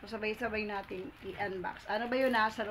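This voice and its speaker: Noticeable background noise runs behind a woman speaking at a moderate pace. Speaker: vlogger. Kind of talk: casual vlog chat. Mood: happy, grateful, laughing. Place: home room. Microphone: phone near.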